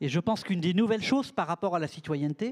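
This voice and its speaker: A man with a high pitch speaks at a fairly quick pace with lively intonation. The sound is dry and close with no echo, on a very clean recording with a silent background. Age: 60s. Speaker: panel speaker, network director. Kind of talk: panel discussion. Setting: conference stage with audience.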